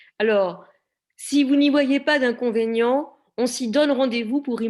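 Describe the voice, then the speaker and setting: This woman speaks fairly slowly in a high voice, with ordinary pitch variation. The recording is very clean, with a silent background. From Normandy, France (Cabourg). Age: 60s. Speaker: discussion moderator. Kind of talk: panel discussion Q&A. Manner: hesitant, many fillers.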